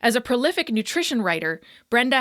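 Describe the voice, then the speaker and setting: A woman with a Canadian accent uses a normal speaking voice with lively intonation at a moderate pace. The sound is dry and close with no echo, on a very clean recording with a silent background. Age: 30s. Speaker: podcast host and fitness coach. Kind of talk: scripted guest introduction; podcast interview.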